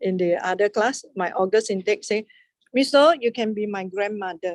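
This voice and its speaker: Her voice is a plain, everyday voice, with this woman speaking in a medium pitch and with ordinary pitch variation. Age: 60s. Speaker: maths lecturer. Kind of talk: lecture. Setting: classroom with online students.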